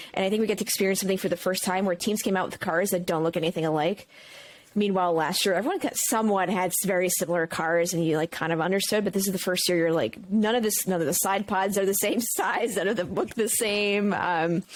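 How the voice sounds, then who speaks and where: The delivery is animated and very fast, with ordinary pitch variation. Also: woman, medium pitch for a woman. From Brooklyn, New York. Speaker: streamer and content creator. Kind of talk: casual chat.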